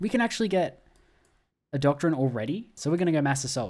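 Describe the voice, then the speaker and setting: The speaker talks at a very fast pace with an Australian accent. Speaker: gaming YouTuber. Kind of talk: gameplay commentary. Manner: casual, conversational.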